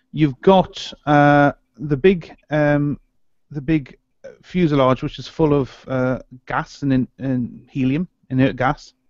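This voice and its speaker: The voice moves at a very slow pace with ordinary pitch variation, set against a quiet background in a dry sound with no echo. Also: man. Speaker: podcast co-host. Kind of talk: explanatory commentary. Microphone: video call.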